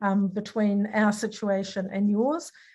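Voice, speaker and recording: This woman speaks with a New Zealand accent. The background is quiet. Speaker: academic speaker on language revitalisation. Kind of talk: online lecture presentation. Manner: hesitant, many filler sounds.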